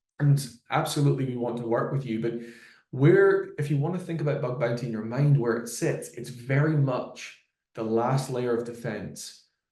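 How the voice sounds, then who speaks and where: In a Glasgow accent, a man with a dark, mellow tone speaks at medium pitch and a moderate pace, somewhat breathy, with ordinary pitch variation and audible room echo. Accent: Scottish (Glasgow). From Scotland, Glasgow. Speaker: solutions engineer. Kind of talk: product webinar presentation. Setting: live webinar video call.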